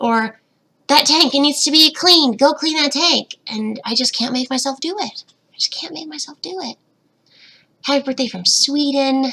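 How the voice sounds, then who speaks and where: A woman with a high pitch speaks at a moderate pace in an excited tone, her pitch varying ordinarily and her loudness swinging widely. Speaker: betta fish youtuber. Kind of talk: livestream Q&A.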